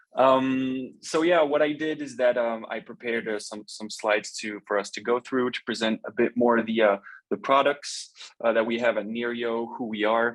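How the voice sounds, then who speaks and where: With a slight French accent, a man speaks at a fairly quick pace, his medium pitch following fairly even intonation. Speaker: company representative presenting robotics products. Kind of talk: webinar product presentation. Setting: video call webinar. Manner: halting, many fillers.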